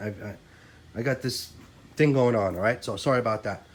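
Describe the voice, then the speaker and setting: Ordinary pitch variation from a man, set against audible room echo. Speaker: RC car hobbyist YouTuber. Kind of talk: casual tutorial. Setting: in a garage.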